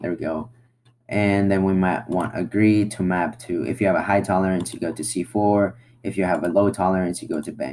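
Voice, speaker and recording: Over light background noise, the speech moves at a fairly quick pace with ordinary pitch variation. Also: man, very deep, low pitch for a man. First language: not English. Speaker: online marketing tutorial creator; presenter. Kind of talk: screen-share tutorial. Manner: casual, halting with fillers. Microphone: webcam.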